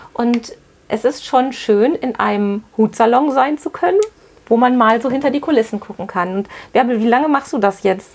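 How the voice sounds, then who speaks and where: Over noticeable background noise, a woman speaks at a high pitch and a moderate pace with ordinary pitch variation. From Witten, Ruhr area, Germany. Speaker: podcast host, business coach. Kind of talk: interview. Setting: on location in a hat shop.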